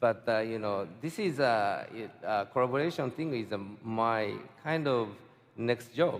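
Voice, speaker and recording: Medium in pitch, a man talks at a fairly slow pace. His pitch variation is ordinary. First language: Japanese. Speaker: fine artist. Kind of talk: panel interview answer. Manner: hesitant, halting.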